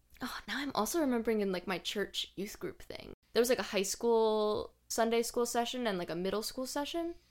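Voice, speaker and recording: In a plain, everyday voice, a woman speaks at a fairly high pitch and a fairly quick pace with hardly any pauses, recorded very cleanly against a silent background. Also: lively intonation. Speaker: podcast host. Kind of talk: casual interview chat.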